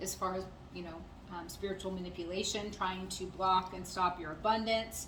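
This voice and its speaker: The pace is fairly quick. Audible room echo and noticeable background noise run through the recording. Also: woman. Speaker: tarot reader. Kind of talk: channeled tarot reading. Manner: fast; hesitant with many fillers.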